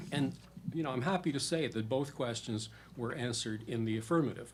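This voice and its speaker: A man speaks at a medium pitch in a somewhat breathy voice. Room echo can be heard. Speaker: policy researcher. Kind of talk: conference presentation. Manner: fast.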